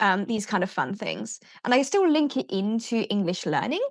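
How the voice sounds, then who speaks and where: Against a quiet background, a woman talks with a British accent. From UK. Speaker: teacher and education business founder. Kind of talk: podcast interview.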